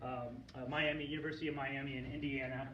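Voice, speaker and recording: With an American accent and a fairly quick pace, the voice comes through audible room echo and noticeable background noise. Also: man. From Florida Panhandle. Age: 40s. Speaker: archaeologist. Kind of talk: lecture. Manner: loud.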